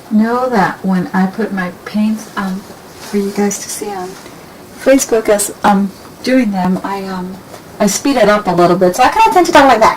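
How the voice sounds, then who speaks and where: There is noticeable background noise as a woman speaks at a medium pitch with ordinary pitch variation. Her pace is moderate, and her loudness swings widely. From desert region. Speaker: painting instructor. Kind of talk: tutorial. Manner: casual, with many fillers.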